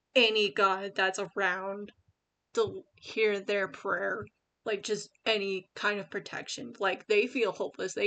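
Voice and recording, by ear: Against a quiet background, someone reads aloud in a natural voice.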